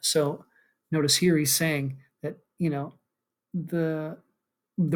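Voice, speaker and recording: A man talks in a fairly high voice, his intonation fairly even. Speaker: philosophy lecturer and author. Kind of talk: lecture. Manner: halting, many fillers.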